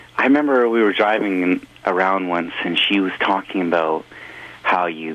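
A man with a very deep, low pitch speaks at a fairly slow pace with ordinary pitch variation. Noticeable background noise is present. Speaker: musician. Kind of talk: casual interview. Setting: phone call.

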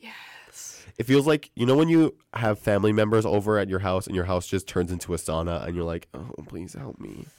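With a normal speaking voice, a man talks at a moderate pace and fairly low pitch, using lively intonation, big swings in loudness and hardly any pauses. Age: 20s. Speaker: campus radio co-host. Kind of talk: live advice call-in chat. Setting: radio studio.

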